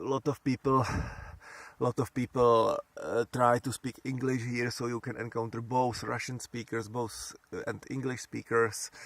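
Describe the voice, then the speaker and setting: A man's medium-pitched voice at a fairly slow pace with monotone, flat intonation, in a dry, close sound with no echo. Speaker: solar bicycle traveler, vlogger. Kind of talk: travel vlog monologue. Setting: outdoors at a campsite. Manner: halting, many repetitions and fillers.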